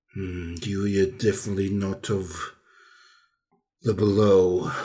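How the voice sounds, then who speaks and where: A put-on character voice growls and rumbles. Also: man, fairly low pitch for a man, fairly slow pace. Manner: aggressive, snarling.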